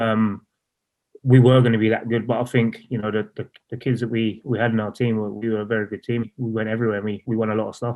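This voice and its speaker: Speaking at a very fast pace, a man with a London accent uses a medium pitch and a flat, monotone delivery. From East London, England. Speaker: professional footballer. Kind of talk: interview. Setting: podcast.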